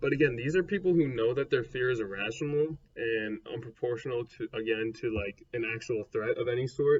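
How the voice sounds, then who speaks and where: With hardly any pauses, a man talks at a fairly quick pace in a medium pitch, somewhat breathy, with ordinary pitch variation. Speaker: psychology video creator. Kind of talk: educational explainer. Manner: fast.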